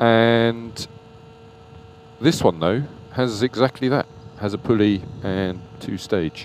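At a slow pace, a man speaks with a fairly low pitch, a slightly mellow tone and ordinary pitch variation.

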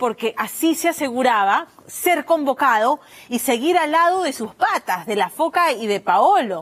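At a fairly slow pace, a woman with a high pitch speaks in very wide pitch swings. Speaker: news presenter. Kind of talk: news presentation. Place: studio. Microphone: lapel.

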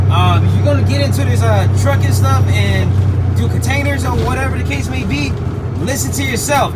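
A man keeps a moderate pace as music sounds in the background. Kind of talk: casual vlog chat. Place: car. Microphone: phone near.

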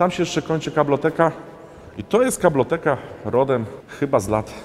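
A man's fairly quick, lively-intoned speech over light background noise. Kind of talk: walkthrough tour commentary. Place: garage.

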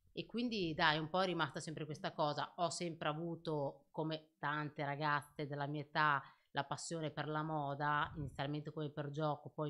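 A woman's very deep, low voice at a moderate pace, with fairly even intonation over a quiet background. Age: young. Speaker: clothing shop owner; podcast guest. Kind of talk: casual chat. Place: studio. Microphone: studio mic.

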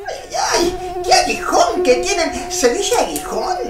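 In a put-on character voice, the speaker moves at a fairly slow pace with big pitch swings and audible room echo.

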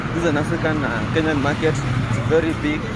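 A man is heard over loud background noise in a dry sound with no echo. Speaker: travel vlogger. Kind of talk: casual vlog chat. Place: motorbike. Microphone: phone near.

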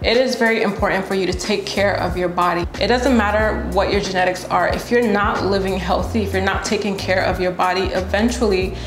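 Clear music plays behind a woman speaking. She talks at a fairly quick pace with hardly any pauses and fairly even intonation. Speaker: fitness creator. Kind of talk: casual vlog chat. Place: home room.

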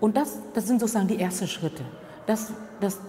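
A woman at a fairly quick pace, ordinary pitch variation, and light background noise. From Vietnam. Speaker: diversity trainer and former contract worker. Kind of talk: interview answer. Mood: calm, reflective, earnest.

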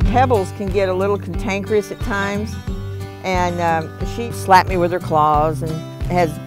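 Clear music plays behind a woman with an American accent whose very deep, low voice makes very wide pitch swings at a moderate pace, in a dry sound with no echo. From Texas. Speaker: truck driver. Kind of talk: interview answer. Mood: calm, matter-of-fact. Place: garden. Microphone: lapel.

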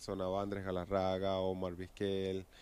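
A man with a Venezuelan accent and a very deep, low pitch speaks with a dry sound and no echo, over light background noise. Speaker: professional baseball pitcher. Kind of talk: interview answer. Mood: relaxed, reminiscing. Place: stadium. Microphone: handheld.

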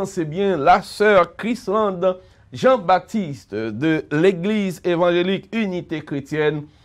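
A man with a Haitian accent speaks at a high pitch with ordinary pitch variation. The background is quiet. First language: Haitian Creole (speaking French). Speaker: pastor and radio host; pastor, radio host. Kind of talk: radio interview. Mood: warm, smiling. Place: studio.

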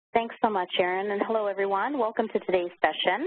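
At a fairly quick pace, a woman talks through noticeable background noise. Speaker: training company director and webinar moderator. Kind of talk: webinar introduction. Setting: online webinar. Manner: hesitant, many fillers.

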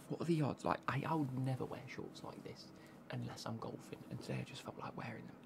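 A man is whispering. He goes at a very fast pace. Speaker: football kit reviewer. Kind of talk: casual vlog chat. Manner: soft-spoken ASMR close to mic. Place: home room. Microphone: studio mic.

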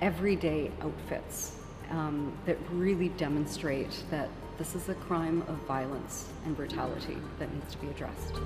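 Moderate pace from a woman, clear music in the background. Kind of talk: interview answer. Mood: serious, earnest. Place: hall. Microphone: handheld.

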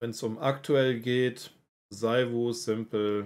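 At a very slow pace, a man speaks in a dark, mellow tone. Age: 30s. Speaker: esports organization representative. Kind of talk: casual livestream Q&A.

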